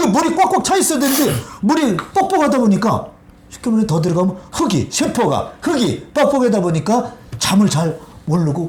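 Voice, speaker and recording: A man speaks at a moderate pace with very wide pitch swings. Noticeable background noise runs underneath. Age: 60s. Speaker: water health lecturer. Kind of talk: interview talk. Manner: animated.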